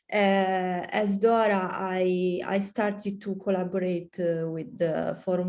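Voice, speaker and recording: A woman speaks with an Italian accent at a fairly slow pace. Her medium-pitched voice has a dark, mellow tone. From Italy. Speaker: PhD student. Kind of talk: self-introduction. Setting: video call. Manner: halting.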